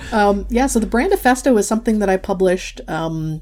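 A woman speaks with a Midwestern accent and ordinary pitch variation. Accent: American (Midwest). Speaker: graphic facilitator and author. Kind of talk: interview.

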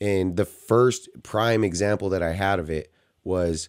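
With a dark, mellow tone, a man speaks at a fairly low pitch and with fairly even intonation on a very clean recording with a silent background. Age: 30s. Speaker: returning podcast guest. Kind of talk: casual chat.

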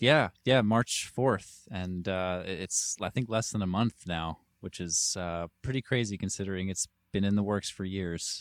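In a very clean recording with a silent background and a dry, close sound with no echo, a man speaks with an American accent. His pitch is fairly low, varies in an ordinary way, and his pace is moderate. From New York City. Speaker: musician. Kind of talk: casual interview. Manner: halting, repeats words.

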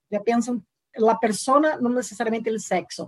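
A woman with a Portuguese accent speaks in a high pitch. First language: Portuguese (speaking Spanish). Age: 40s. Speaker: university lecturer and political campaign author. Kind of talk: interview.

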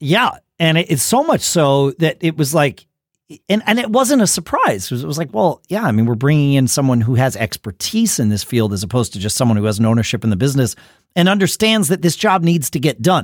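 A fairly high male voice with an American accent, very wide pitch swings and a very fast pace, on a very clean recording with a silent background and a dry, close sound with no echo. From US Northeast. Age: 50s. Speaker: podcast host. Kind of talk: casual chat.

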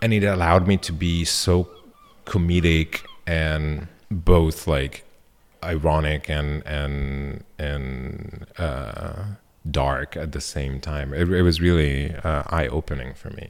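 Speaking very slowly with fairly even intonation, a man with an Italian accent has a very deep, low voice. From northern Italy, Milan. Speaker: sculptor and installation artist. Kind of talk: casual interview.

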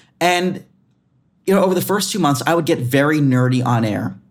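A man talks at a fairly quick pace in a fairly high voice. His intonation is lively. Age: 20s. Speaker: meteorologist. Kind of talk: interview. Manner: animated; halting.

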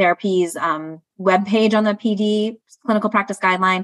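A woman speaks in a monotone, flat way. The sound is dry and close, with no echo. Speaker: podcast guest, research scientist. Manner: fast talker.

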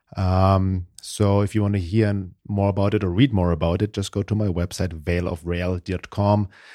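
A man's very deep, low voice with a German accent, dark and mellow in tone, monotone and flat, with hardly any pauses, in a dry, close sound with no echo and a very clean recording with a silent background. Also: moderate pace. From Germany. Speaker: spiritual teacher and podcast co-host. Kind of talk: casual conversational podcast discussion. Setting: studio podcast.

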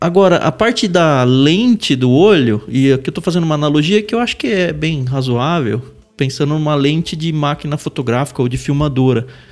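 Noticeable background noise accompanies a man speaking at a moderate pace with lively intonation. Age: 40s. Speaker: podcast co-host. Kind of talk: casual chat.

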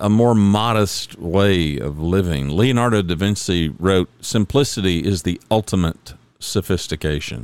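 The man's voice is very deep and low, moving at a fairly slow pace. His intonation is lively. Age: 60s. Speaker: podcast host. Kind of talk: solo monologue podcast. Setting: home studio. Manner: casual, conversational.

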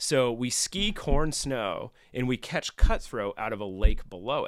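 With an American accent and a normal speaking voice, a man talks at a medium pitch with lively intonation on a very clean recording with a silent background. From Northern California. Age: 40s. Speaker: outdoor gear sales rep. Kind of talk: casual chat.

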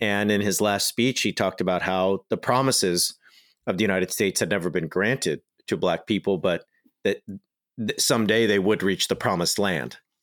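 This man speaks at a fairly quick pace with ordinary pitch variation and very even loudness. The recording is very clean with a silent background, and the sound is dry and close with no echo. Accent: Californian. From Southern California. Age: 30s. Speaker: author and scholar. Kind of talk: interview.

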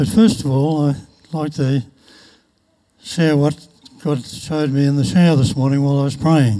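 A man speaks at a moderate pace in a fairly high pitch with ordinary pitch variation, his dark, mellow tone broken by long, frequent pauses. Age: 80s. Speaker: church member giving testimony. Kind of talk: testimony. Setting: church.

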